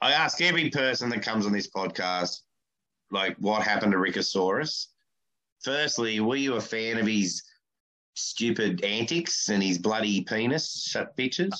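With an Australian accent, a man speaks at a medium pitch and a moderate pace. His intonation is lively and his loudness very even. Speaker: podcast host and comedian. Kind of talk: casual chat. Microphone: poor sound, mic covered with tape.

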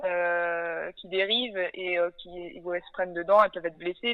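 A woman with an ordinary speaking voice at a moderate pace. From western France (Nantes). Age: 20s. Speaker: sailor and ocean conservation project founder. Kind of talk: interview.

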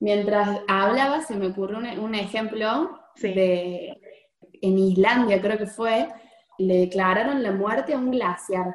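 A woman at medium pitch, very slow in pace, with ordinary pitch variation. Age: 20s. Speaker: psychologist, researcher. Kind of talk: interview.

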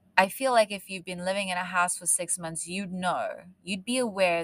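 Delivered at a fairly quick pace, this voice has a South African accent and fairly even intonation. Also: woman. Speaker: true crime podcast host. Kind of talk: true crime storytelling.

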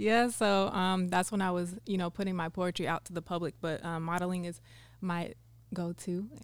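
Here a woman with an American accent has a plain, everyday voice, fairly low in pitch, with fairly even intonation. She speaks at a moderate pace in a very clean recording with a silent background. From California. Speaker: model and spoken word poet. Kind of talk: casual chat. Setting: studio.

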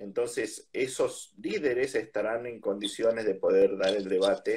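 A man is speaking. He has an Argentine accent. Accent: Rioplatense Argentine Spanish. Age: 50s. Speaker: politician. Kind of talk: interview. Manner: hesitant, many fillers.

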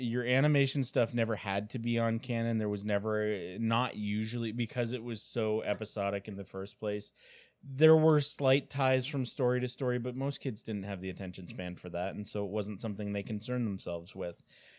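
A man with a Canadian accent uses a normal speaking voice at a medium pitch, with ordinary pitch variation, a fairly quick pace and hardly any pauses, on a very clean recording with a silent background. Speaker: comic and toy store owner, podcast co-host. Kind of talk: casual chat.

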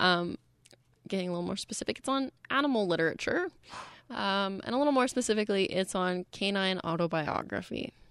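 A plain, everyday voice with a Canadian accent moves at a fairly quick pace with lively intonation, captured in a very clean recording against a silent background. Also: woman, medium pitch for a woman. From British Columbia, Canada. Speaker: singer-songwriter and graduate student. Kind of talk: casual interview chat. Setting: radio studio.

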